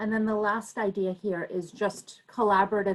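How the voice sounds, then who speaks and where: A woman talks at a fairly slow pace in an unremarkable speaking voice. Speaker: parent advocate presenter. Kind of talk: presentation.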